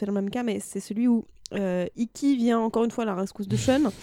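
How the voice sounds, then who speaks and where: Speaking at a very fast pace, a woman has a dark, mellow tone, recorded dry and close with no echo. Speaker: translator and novelist. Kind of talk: casual chat.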